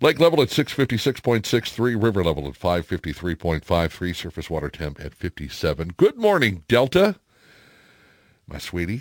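This man's very deep, low voice makes very wide pitch swings, recorded with a dry, close sound and no echo. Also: moderate pace, big swings in loudness. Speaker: radio host. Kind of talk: casual chat. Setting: studio.

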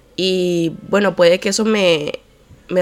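Against noticeable background noise, a woman speaks in a fairly low pitch with fairly even intonation. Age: 20s. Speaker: podcast host. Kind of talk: solo monologue podcast. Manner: low-energy; distracted.

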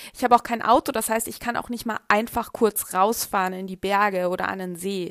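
A woman's medium-pitched voice at a fairly quick pace, with fairly even intonation and big swings in loudness. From Germany. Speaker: astrology podcaster. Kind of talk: podcast monologue. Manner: hesitant with fillers.

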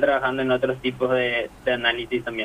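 At a fairly quick pace, a man talks with noticeable background noise around him. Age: 20s. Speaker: data analyst interviewee. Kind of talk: interview.

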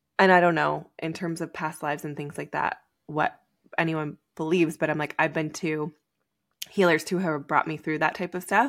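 At a moderate pace, a woman with a very deep, low voice speaks in a very clean recording with a silent background. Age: 30s. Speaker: podcast host. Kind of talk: casual chat. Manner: animated.

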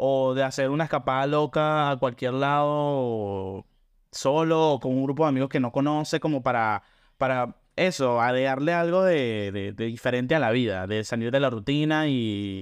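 A man talks in a plain, everyday voice at medium pitch. His pace is moderate and his pitch varies in an ordinary way. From Venezuela, Caracas. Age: 20s. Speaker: podcast co-host. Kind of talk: casual chat.

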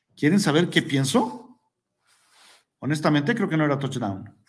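Fairly high in pitch, a man speaks in an animated tone with lively intonation. Audible room echo surrounds his voice. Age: 40s. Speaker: sports podcast host. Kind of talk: casual sports commentary. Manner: hesitant with repeated words.

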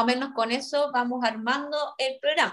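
Speaking at a moderate pace, a woman uses a high pitch. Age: 30s. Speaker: podcast co-host. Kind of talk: casual chat.

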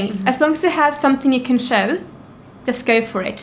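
Speech comes at a very fast pace with ordinary pitch variation, over noticeable background noise. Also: woman. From Norway. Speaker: business owner. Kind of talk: interview.

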